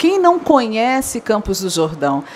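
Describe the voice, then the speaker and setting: Someone with a Rio de Janeiro accent speaks at a fairly slow pace against noticeable background noise. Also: woman. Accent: carioca. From Rio de Janeiro, Brazil. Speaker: event professional and speaker. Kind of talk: conference talk.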